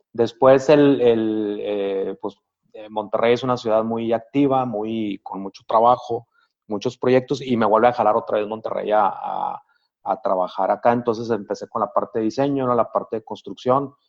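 Fairly even intonation from a man, medium in pitch and moderate in pace. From Sonora, northern Mexico. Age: 50s. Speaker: architect and business owner. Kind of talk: interview. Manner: halting, frequent fillers.

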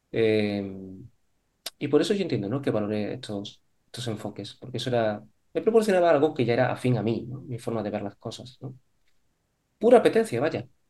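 A man talks at a fairly quick pace with a medium pitch and ordinary pitch variation. His loudness swings widely, and he makes long, frequent pauses. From Spain, Córdoba (Andalusia). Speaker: psychologist, psychotherapist. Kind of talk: interview conversation.

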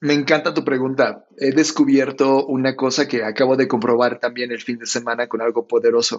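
A man speaks at a fairly quick pace with hardly any pauses. His medium pitch stays monotone and flat. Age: 40s. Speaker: design company founder. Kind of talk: interview conversation.

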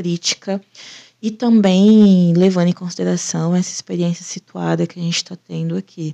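A woman speaks in a dark, mellow tone. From Brazil, interior of São Paulo (Ribeirão Preto). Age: 20s. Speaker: podcast co-host, PhD student. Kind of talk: casual chat.

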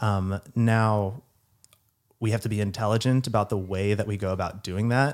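Here is a man with a plain, everyday voice, fairly low in pitch, with an American accent. His intonation is fairly even and his pace moderate, on a very clean recording with a silent background. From Kentucky and Texas. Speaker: psychiatry resident. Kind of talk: casual chat.

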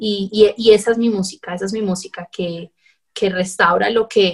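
Somewhat breathy, a woman speaks at a medium pitch. Her intonation stays fairly even. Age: 20s. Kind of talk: interview.

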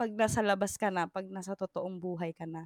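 The woman's tone is animated. Her pitch shifts in an ordinary manner. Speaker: podcast co-host. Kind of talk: casual chat. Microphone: new microphone.

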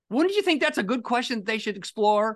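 The speech comes at a very fast pace in an animated tone over a quiet background. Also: man. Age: 60s. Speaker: life coach and author. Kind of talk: interview.

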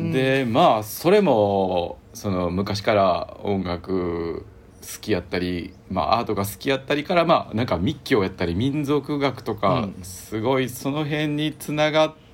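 Speaking in a Kansai accent, a man at medium pitch moves at a fairly slow pace with hardly any pauses and very wide pitch swings. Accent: Kansai Japanese. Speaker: rock band bassist. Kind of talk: casual interview chat. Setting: remote call.

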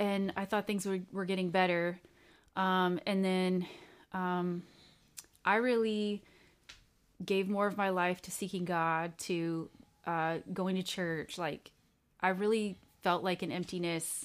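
In a Californian accent, a woman speaks very slowly with monotone, flat intonation and long, frequent pauses. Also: medium pitch for a woman, very clean recording, silent background. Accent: Californian American English. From Southern California, Orange County. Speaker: interviewee sharing life story. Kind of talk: interview testimony. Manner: halting, many fillers.

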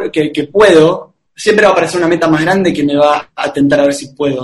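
A man's fairly high pitch, with ordinary pitch variation, carries his fairly quick speech. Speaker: speaker and coach. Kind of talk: interview. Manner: talkative.

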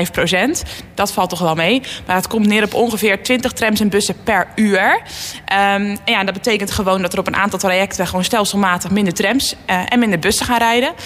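Ordinary pitch variation at a moderate pace in a normal speaking voice. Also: woman. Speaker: politician. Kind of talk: radio interview. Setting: studio.

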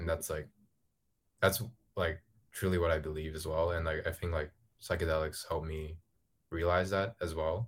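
Recorded very cleanly with a silent background, a man speaks in a very deep, low, somewhat breathy voice, monotone and flat, at a moderate pace broken by long, frequent pauses. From Hong Kong. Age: 20s. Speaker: ghostwriter. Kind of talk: casual chat. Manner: halting, many fillers.

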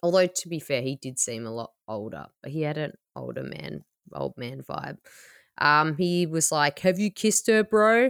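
Pitched very deep and low for a woman, she speaks at a moderate pace with very wide pitch swings and big jumps in loudness, captured dry and close with no echo on a very clean recording against a silent background. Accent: Australian. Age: 30s. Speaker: podcast host and comedian. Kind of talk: casual chat.

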